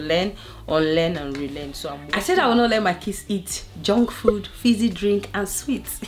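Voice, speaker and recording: A woman speaks with lively intonation at a moderate pace. Noticeable background noise can be heard. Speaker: family lifestyle vlogger. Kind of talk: casual vlog talk to camera. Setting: living room at home. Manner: loud; animated.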